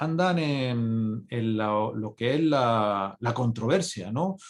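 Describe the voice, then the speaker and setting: A man's very slow speech with lively intonation. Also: quiet background. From Spain, not Andalusia. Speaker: physician and conference speaker. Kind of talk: conference lecture. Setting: congress talk. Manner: halting, many fillers and repetitions.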